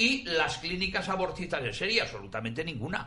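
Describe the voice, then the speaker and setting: There is audible room echo and noticeable background noise as a man with a high pitch talks at a fairly quick pace. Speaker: professor, panelist. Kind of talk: talk radio debate.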